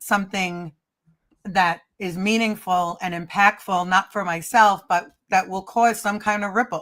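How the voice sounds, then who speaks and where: A woman's medium-pitched voice with an American accent, fairly slow and monotone, flat in intonation, bright and sharp in tone, on a very clean recording with a silent background. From Staten Island, New York. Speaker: stand-up comedian and producer. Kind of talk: interview answer.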